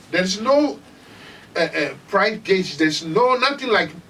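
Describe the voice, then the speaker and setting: Noticeable background noise behind a man speaking fairly slowly in a Ghanaian accent. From Ghana, Volta Region. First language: Ewe. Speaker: musician. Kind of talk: interview.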